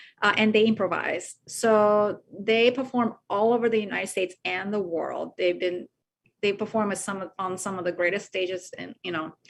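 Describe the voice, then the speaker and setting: A woman talks at a moderate pace and medium pitch. Her intonation is fairly even, and the background is quiet. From Japan, moved to California at 14. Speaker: orchestra conductor. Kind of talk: interview conversation. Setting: video call. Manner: halting with many fillers.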